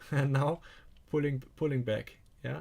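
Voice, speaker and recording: At a moderate pace, a man with a German accent speaks in a somewhat breathy, medium-pitched voice with fairly even intonation. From Germany. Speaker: stock trading coach. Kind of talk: live stream market commentary. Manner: halting.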